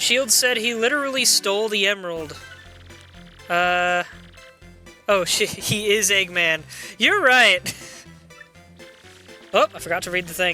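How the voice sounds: Music plays in the background as the speech unfolds at a fairly slow pace, broken by long, frequent pauses. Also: woman, ordinary pitch variation.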